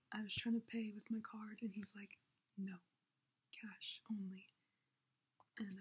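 A quiet woman talks in a fairly high, somewhat breathy voice with monotone, flat intonation. Her moderate pace is broken by long, frequent pauses. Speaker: YouTuber. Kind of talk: casual vlog chat. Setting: home, host family's house. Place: home room. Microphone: laptop recording, may be hard to hear; webcam.

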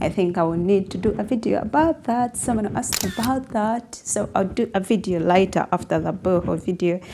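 Against noticeable background noise, a woman talks at a moderate pace and medium pitch with ordinary pitch variation. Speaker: home decor YouTuber. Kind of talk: casual vlog talk.

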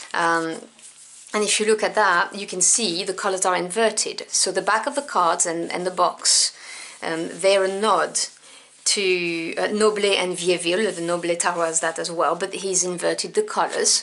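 A woman with a French accent speaks at a moderate pace with fairly even intonation. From France. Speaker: tarot deck reviewer. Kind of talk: product review.

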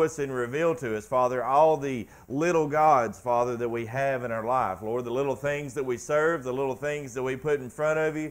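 A man talks at a moderate pace with fairly even intonation and hardly any pauses. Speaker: preacher. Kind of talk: spoken prayer. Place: church.

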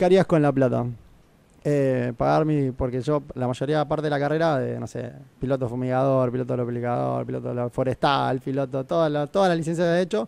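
Talking at a fairly quick pace, a man uses ordinary pitch variation. The sound is dry, with no echo. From Argentina, Necochea; Argentina. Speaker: airline pilot; radio guest. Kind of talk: casual chat. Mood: relaxed, cheerful. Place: studio. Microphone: studio mic.

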